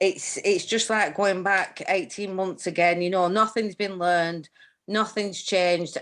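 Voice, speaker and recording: This speaker talks at a fairly slow pace with fairly even intonation in a Cornish accent. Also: woman. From Cornwall, England. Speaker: union safety rep. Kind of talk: online panel discussion contribution.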